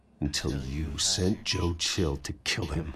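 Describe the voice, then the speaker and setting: Putting on a character voice, a man growls in a very deep, low register at a fairly slow pace. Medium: video game. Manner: cold, terse.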